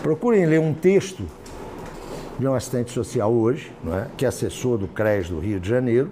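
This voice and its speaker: A man talks at a fairly quick pace in a medium pitch, with very wide pitch swings. Audible room echo and noticeable background noise surround his voice. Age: 60s. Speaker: professor. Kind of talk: lecture. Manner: conversational, informal.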